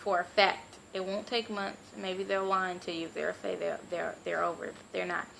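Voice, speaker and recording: Noticeable background noise fills the clip. Through it, a woman speaks at a moderate pace. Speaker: astrology vlogger. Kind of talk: casual vlog monologue.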